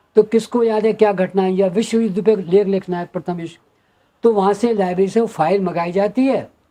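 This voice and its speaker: Speaking at a moderate pace, a man uses a high pitch and a dark, mellow tone with fairly even intonation. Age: 80s+. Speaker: poet. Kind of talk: interview.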